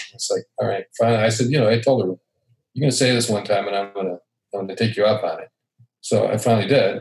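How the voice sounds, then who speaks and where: Talking very fast at a medium pitch, a man sounds somewhat breathy with fairly even intonation. The recording is dry and close, with no echo. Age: 60s. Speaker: podcast guest. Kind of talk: casual conversation. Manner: halting.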